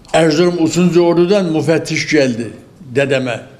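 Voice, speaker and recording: Noticeable background noise sits under this recording. The man's pitch varies in an ordinary way. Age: 80s+. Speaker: elderly tea farmer. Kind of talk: interview answer.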